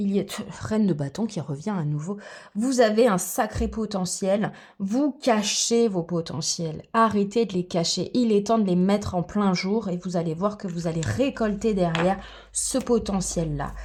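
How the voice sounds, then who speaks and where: At a fairly slow pace, a woman speaks in a somewhat breathy, medium-pitched voice with ordinary pitch variation. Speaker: tarot reader and aromatherapy coach. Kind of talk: tarot reading guidance. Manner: animated.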